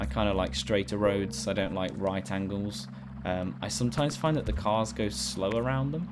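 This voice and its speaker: A man with a British accent speaks at a fairly low pitch with very wide pitch swings. Audible room echo and noticeable background noise are present. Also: moderate pace. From Britain. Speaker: gaming YouTuber. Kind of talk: gameplay commentary. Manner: casual, hesitant with fillers.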